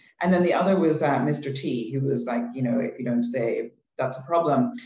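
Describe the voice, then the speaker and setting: A man's fairly high, somewhat breathy voice with an English accent, fairly quick and with lively intonation. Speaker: behavioral science researcher. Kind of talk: webinar panel discussion.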